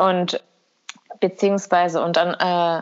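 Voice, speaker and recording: Very slowly, a woman speaks at a fairly low pitch. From Kosovo. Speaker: podcast co-host. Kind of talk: casual chat. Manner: halting.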